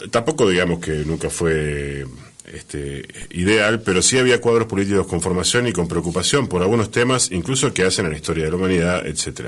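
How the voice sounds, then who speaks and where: In an Argentine accent, a man speaks with a very deep, low pitch. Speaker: radio host. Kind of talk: radio interview.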